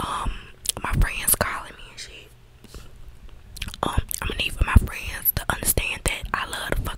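Whispering, a woman speaks at a fairly slow pace. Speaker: ASMR creator. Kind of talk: casual rambling. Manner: relaxed, informal slang. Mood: mildly annoyed, candid. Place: home room. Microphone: studio mic.

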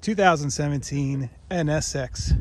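Light background noise sits under a man's somewhat breathy voice. The sound is dry with no echo, and his pitch varies in an ordinary way. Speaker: car vlogger. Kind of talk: casual vlog chat. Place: street.

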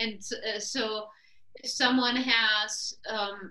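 The woman's voice sits at a medium pitch, with a bright, sharp tone.

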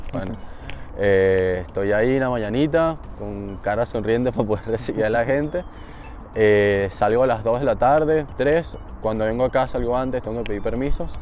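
Over noticeable background noise, a man at a medium pitch talks at a moderate pace with ordinary pitch variation. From Venezuela, Barquisimeto (Lara). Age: 20s. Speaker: baseball player. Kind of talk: interview. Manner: halting, with repetitions.

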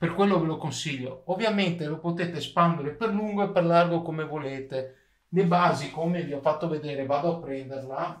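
Over audible room echo, a man with fairly high pitch talks at a moderate pace with ordinary pitch variation. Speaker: YouTuber, DIY 3D printing maker. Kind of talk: tutorial. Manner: casual, with frequent hesitations.

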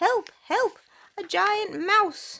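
Using a squeaky, put-on character voice, a woman speaks at an extremely high pitch. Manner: frightened.

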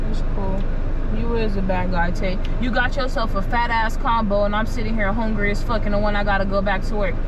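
Noticeable background noise accompanies a woman speaking fairly quickly. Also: dry sound with no echo. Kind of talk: casual complaining banter. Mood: annoyed, hungry, teasing. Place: car. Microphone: camera far.

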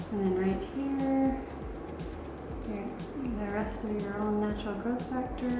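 Amid loud background noise and audible room echo, a woman speaks fairly slowly, with long, frequent pauses. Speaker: plastic surgeon. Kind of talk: doctor talking to patient during procedure. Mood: calm, reassuring.

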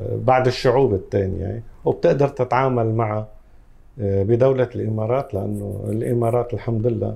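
A man speaks fairly slowly with a Lebanese accent. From Lebanon, Tripoli. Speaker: salon owner. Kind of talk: interview. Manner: halting.

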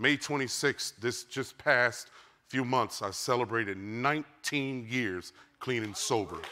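A man's very slow delivery with a bright, sharp tone and ordinary pitch variation. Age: 50s. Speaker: pastor. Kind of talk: sermon. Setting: church. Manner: animated. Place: church. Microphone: lapel.

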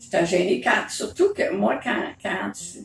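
In a Quebec accent, a woman speaks at a fairly slow pace, with audible room echo and clear music in the background. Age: 70s. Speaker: mother telling memories. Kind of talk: casual conversation, telling memories. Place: home room. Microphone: phone near.

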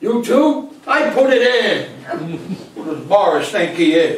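In strong room echo, a man does a put-on character voice, high-pitched and slow, with big pitch swings.

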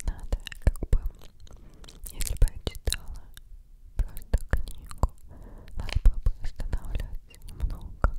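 A woman whispers fairly slowly, pausing often and at length. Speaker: ASMR creator. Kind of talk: soft-spoken casual chat. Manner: close, sticky ASMR whisper. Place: home room. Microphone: studio mic.

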